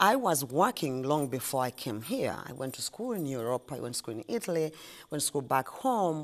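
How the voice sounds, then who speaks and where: A woman with a Ugandan accent speaks at a fairly quick pace, her pitch swinging very widely. The recording is very clean, with a silent background. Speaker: ice cream shop owner. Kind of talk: interview. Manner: halting.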